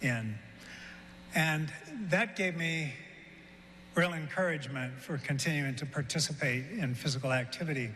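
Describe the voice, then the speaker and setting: A man's bright, sharp, fairly high voice with a Midwestern accent, ordinary pitch variation and audible room echo. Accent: American Midwest. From Kansas, US. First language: German. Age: 70s. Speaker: award recipient, physical education figure. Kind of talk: award acceptance speech. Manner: hesitant, many fillers.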